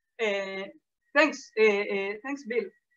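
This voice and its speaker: A woman in an Israeli accent speaks with lively intonation. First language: Hebrew. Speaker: lecturer, historian. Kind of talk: lecture Q&A. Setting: video call. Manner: halting, many fillers.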